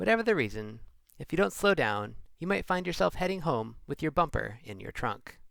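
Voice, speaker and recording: A man talks fairly quickly with very wide pitch swings on a very clean recording with a silent background. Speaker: traffic video narrator. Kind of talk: wry documentary narration.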